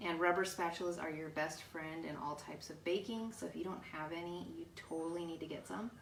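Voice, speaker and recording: At a moderate pace, a woman speaks in a fairly low pitch, with audible room echo and noticeable background noise. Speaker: cooking channel host. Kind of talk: live cooking tutorial. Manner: hesitant with many fillers.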